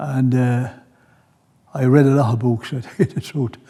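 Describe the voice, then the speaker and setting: With an Irish Midlands accent, a man speaks at a medium pitch in a dark, mellow tone that is somewhat breathy. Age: 80s+. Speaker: retired grandparent. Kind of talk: interview testimony.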